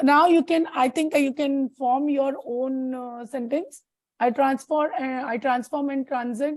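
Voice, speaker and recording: A woman's high voice at a fairly slow pace, with fairly even intonation. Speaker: tarot reader. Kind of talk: tarot consultation.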